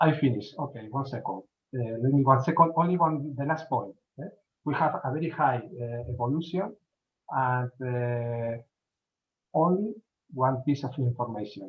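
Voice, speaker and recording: A man speaks in a medium-pitched, somewhat breathy voice. Long, frequent pauses break up his speech. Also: ordinary pitch variation, moderate pace. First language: Spanish. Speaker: event speaker. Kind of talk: conference talk. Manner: halting.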